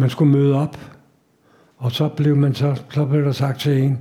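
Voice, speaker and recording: A somewhat breathy man's voice, fairly high in pitch and dark and mellow in tone, at a fairly slow pace. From Denmark, Copenhagen. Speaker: Holocaust survivor. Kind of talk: lecture. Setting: stage with audience.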